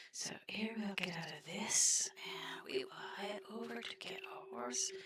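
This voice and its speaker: The speaker is soft-spoken. The pace is very slow. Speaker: gaming streamer. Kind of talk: gameplay commentary.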